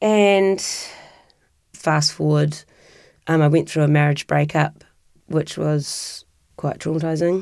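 Spoken very slowly in a New Zealand accent, with long, frequent pauses. The loudness stays very even, and the recording is very clean over a silent background. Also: woman, very deep, low pitch for a woman, fairly even intonation. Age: 40s. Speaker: interviewee sharing personal story. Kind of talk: personal testimony.

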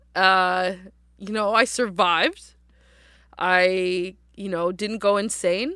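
A woman with a Canadian accent speaks very slowly in a bright, sharp tone. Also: very clean recording, silent background. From Halifax, Nova Scotia, Canada. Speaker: activist and rapper. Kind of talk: interview.

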